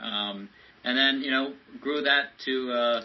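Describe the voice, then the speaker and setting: A man's voice in a flat monotone. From France. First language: French. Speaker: tech entrepreneur, former government software chief. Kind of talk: podcast interview. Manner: many fillers and hesitations.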